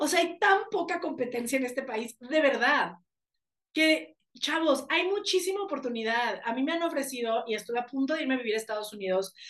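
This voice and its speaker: A woman with a Mexican accent speaks at a high pitch through very wide pitch swings. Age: 30s. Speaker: life coach and speaker. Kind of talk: interview conversation.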